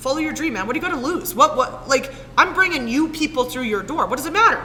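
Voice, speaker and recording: A high-pitched woman, animated in tone and lively in intonation, raised and projected, very fast, over noticeable background noise. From Saskatchewan, Canada. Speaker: spin class instructor. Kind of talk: casual chat. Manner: loud.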